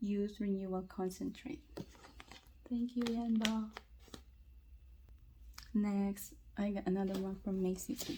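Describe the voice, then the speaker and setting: A quiet woman's voice with long, frequent pauses. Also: medium pitch for a woman, fairly even intonation, fairly slow pace. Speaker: freebie unboxing vlogger. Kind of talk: casual talk to camera. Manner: quiet, lowered voice.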